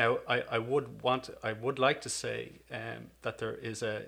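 A man with a Donegal accent at a fairly slow pace. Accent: Irish (Donegal), some years in Canada. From Ireland, Donegal. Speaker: businessman and sales manager. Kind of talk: casual interview conversation.

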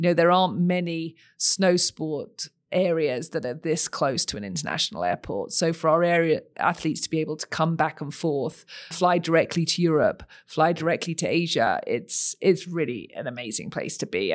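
Recorded very cleanly against a silent background, a woman with a British accent talks at a moderate pace and a fairly low pitch, with lively intonation and vocal fry. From United Kingdom. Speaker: sports organization CEO. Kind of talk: interview conversation.

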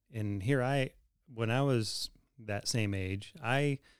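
This is a normal speaking voice with ordinary pitch variation. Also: man. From US, moved around. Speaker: pastor. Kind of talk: casual chat.

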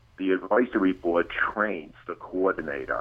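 This is a man's voice. He speaks at a fairly slow pace. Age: 60s. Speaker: chiropractor. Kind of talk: interview.

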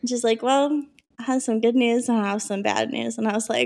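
A woman speaks with an American accent. Her intonation stays fairly even. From Minnesota. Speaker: podcast co-host. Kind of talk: casual chat.

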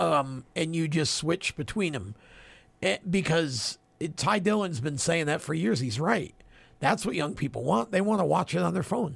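With vocal fry and lively intonation, a man speaks at a moderate pace in a fairly high pitch, in a very clean recording with a silent background. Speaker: radio co-host. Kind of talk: casual chat.

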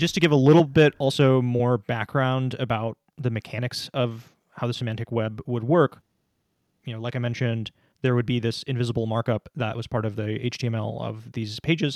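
Speaking at a fairly quick pace, a man has a plain, everyday voice at medium pitch, fairly even intonation, and a dry, close sound with no echo. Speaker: podcast host. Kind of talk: casual podcast conversation.

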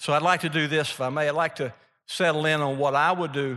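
In a Mississippi accent, a bright, sharp voice speaks with fairly even intonation against a quiet background. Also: man. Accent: Southern US (Mississippi). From Mississippi, US South. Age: 70s. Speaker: author and speaker, former businessman. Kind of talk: sermon-like talk to a live audience. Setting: stage with audience.

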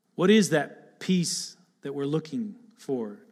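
A man with a Michigan accent and very wide pitch swings. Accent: Midwestern American (Michigan). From Michigan (Lapeer area, Attica). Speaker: pastor candidate. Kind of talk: sermon. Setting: church.

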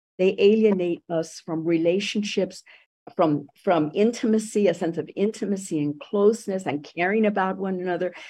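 The tone is dark and mellow. Pitch moves with ordinary variation. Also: woman, medium pitch for a woman, moderate pace. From Puerto Rico. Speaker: education professor and activist. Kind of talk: radio interview. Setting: radio studio.

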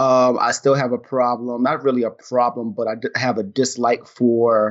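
At a fairly slow pace, a man talks with an American accent. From New York. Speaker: wrestling podcast host. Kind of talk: casual chat. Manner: halting.

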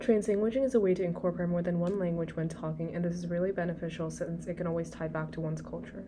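A woman at a very fast clip with hardly any pauses, over noticeable background noise. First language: Malayalam. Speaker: student teacher. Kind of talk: scripted class podcast discussion.

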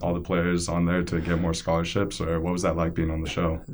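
Over noticeable background noise, the speaker talks at a very fast pace in a monotone, flat voice. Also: man. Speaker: podcast host. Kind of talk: casual podcast chat.

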